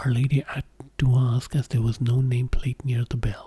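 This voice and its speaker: Soft-spoken whispering in a gentle tone at a moderate pace. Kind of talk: story narration with character dialogue. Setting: studio, close-mic ASMR. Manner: whispering, soft-spoken, gentle.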